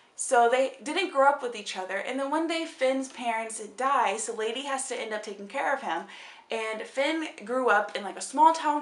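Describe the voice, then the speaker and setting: A woman with a high pitch speaks at a moderate pace in an animated tone with lively intonation, amid noticeable background noise and audible room echo. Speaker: book vlogger. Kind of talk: casual chat.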